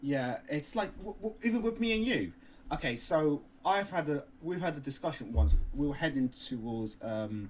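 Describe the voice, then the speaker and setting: In a Cockney accent, a man speaks at a moderate pace with a fairly high pitch and very wide pitch swings. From London. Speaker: podcast co-host. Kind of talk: casual chat.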